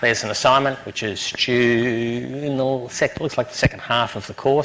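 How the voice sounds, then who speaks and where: A man talks at a moderate pace in a strong Australian accent. Noticeable background noise runs underneath. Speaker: university lecturer. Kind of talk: lecture. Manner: halting, many fillers.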